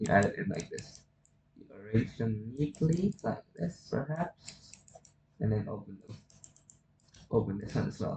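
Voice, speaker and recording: Somewhat breathy and fairly low-pitched, a man speaks at a fairly slow pace with lively intonation. He takes long, frequent pauses, and his loudness swings widely. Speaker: hobbyist 3D rigger. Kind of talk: software tutorial narration. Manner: un-energized.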